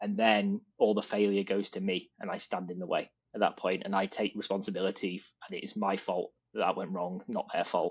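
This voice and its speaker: A man talks at a fairly quick pace with a British accent. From Britain. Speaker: design leader. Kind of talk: interview.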